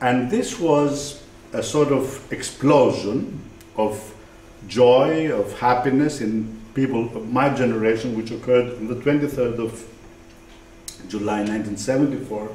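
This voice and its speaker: At a fairly slow pace, a man talks in a medium pitch with ordinary pitch variation. Audible room echo surrounds his voice. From Greece. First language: Greek. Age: 60s. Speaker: writer. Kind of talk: lecture.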